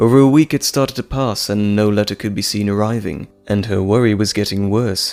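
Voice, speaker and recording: A man's voice with ordinary pitch variation, music playing in the background. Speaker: voice actor. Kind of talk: audio drama narration.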